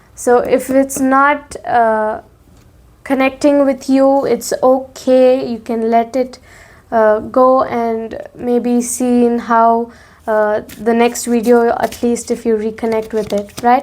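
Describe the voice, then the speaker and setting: A woman's high voice at a very slow pace, with fairly even intonation. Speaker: tarot reader. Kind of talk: tarot reading. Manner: hesitant, many filler sounds.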